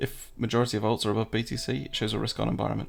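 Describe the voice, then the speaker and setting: The pace is very fast. A man talks in a British accent. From England. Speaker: crypto trading streamer. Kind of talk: livestream market analysis. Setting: livestream. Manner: casual, chatty.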